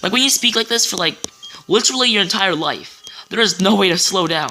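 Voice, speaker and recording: Music plays behind the voice. The words come at a fairly quick speed. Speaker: let's play gamer. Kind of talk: gameplay commentary. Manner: fast; stuttering.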